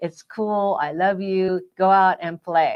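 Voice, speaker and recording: A woman uses an ordinary speaking voice, medium in pitch with fairly even intonation. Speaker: relationship coach. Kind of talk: casual chat.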